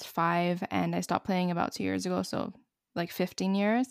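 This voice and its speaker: An ordinary speaking voice at a fairly quick pace, on a very clean recording with a silent background and a dry, close sound with no echo. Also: woman. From Montreal, Canada. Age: 20s. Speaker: YouTuber and student. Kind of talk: casual chat.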